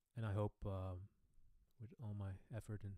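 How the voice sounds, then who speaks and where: A man with a Dutch accent speaks at a fairly low pitch. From Netherlands. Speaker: boogie woogie pianist. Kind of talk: live stream Q&A. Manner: hesitant, many fillers.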